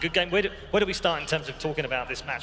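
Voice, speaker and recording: Over light background noise, a man speaks very fast with ordinary pitch variation. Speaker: desk host. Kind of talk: studio desk hosting. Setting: arena stadium. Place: studio. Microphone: headset.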